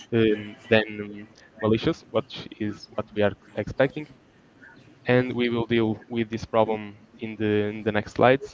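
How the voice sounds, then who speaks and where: A man with a Portuguese accent, monotone and flat, fairly slow with long, frequent pauses, in a dry, close sound with no echo. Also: fairly low pitch for a man. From Portugal. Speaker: student researcher. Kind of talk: conference presentation. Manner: halting.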